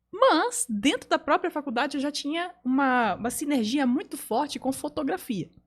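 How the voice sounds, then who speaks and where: The recording is very clean, with a silent background. A woman speaks with a high pitch and lively intonation. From Belém, northern Brazil (born São Paulo state). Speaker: communication coach and photographer. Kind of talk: podcast interview.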